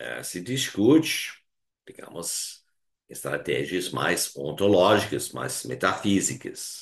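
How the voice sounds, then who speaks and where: The voice has vocal fry. It moves at a very slow pace. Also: man. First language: Hungarian (speaking Portuguese). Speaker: philosophy professor. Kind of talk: lecture. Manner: halting, many fillers.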